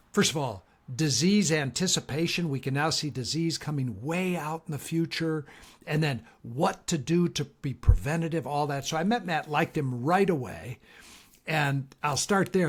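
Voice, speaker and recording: In a very clean recording with a silent background, a man speaks at a moderate pace in a fairly high, somewhat breathy voice with ordinary pitch variation. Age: 70s. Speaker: leadership coach. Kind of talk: casual chat.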